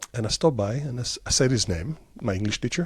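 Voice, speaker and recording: In a very clean recording with a silent background, a man with an Israeli accent talks at a fairly quick pace. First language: Hebrew. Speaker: tech company CEO. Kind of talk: interview. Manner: halting with many fillers.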